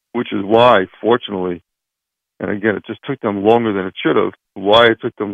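The speaker has a plain, everyday voice, moving at a moderate pace with fairly even intonation. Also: man. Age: 40s. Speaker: employment lawyer. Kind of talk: radio interview.

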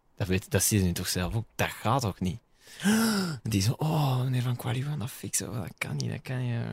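This man's somewhat breathy voice moves at a moderate pace. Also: medium pitch for a man, ordinary pitch variation, very clean recording, silent background. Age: 20s. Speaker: DJ and radio host. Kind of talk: casual chat.

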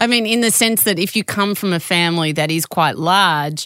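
A woman with a normal speaking voice talks at a fairly quick pace with ordinary pitch variation. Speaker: podcast host. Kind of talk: interview conversation.

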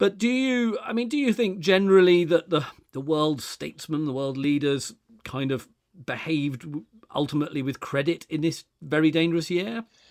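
A man with an English accent speaks at a moderate pace. His pitch is fairly high and his intonation lively. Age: 50s. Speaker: podcast host. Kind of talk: interview.

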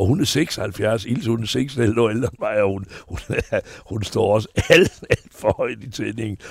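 A man at a fairly slow pace with ordinary pitch variation, amid noticeable background noise. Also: medium pitch for a man. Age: 70s. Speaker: entertainer. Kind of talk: interview. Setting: outdoors on a terrace.

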